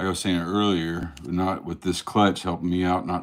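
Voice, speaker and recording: Monotone, flat intonation at a moderate pace. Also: man, very clean recording, silent background. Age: 50s. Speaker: snake breeder. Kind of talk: live stream. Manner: stuttering.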